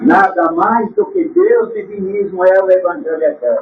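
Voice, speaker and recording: Speaking at a very slow pace, a man makes very wide pitch swings. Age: 70s. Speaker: spiritual teacher. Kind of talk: religious talk.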